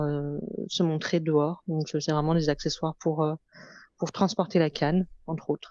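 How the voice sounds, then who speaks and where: A woman's very deep, low voice has a dark, mellow tone and monotone, flat intonation at a moderate pace. The sound is dry and close with no echo, over a quiet background. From France, Lyon. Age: 30s. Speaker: fashion entrepreneur. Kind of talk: interview testimony. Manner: hesitant, many fillers.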